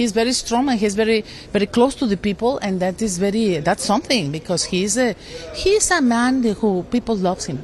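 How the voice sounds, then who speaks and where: Noticeable background noise behind a woman's fairly high, moderately paced voice with very wide swings in pitch. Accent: Mexican. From Mexico. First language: Spanish. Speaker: politician. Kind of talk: interview. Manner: halting.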